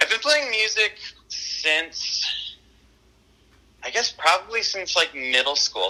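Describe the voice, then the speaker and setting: Speaking in an American accent, a man moves at a fairly slow pace with long, frequent pauses and very wide pitch swings. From eastern Pennsylvania, Lehigh Valley. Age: 20s. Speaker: indie musician. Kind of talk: interview. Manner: hesitant, many fillers.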